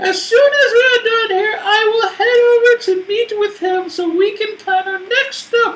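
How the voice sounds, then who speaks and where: Someone uses a squeaky, put-on character voice. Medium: actual play. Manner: brisk, brusque.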